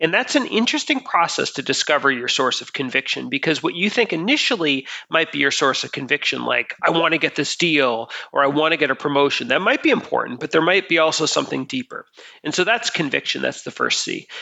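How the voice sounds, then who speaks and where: With an American accent, a man speaks very fast at a fairly high pitch with lively intonation. Noticeable background noise runs underneath. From US Northeast, Boston. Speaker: author and consultant. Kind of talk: interview. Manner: halting, many fillers.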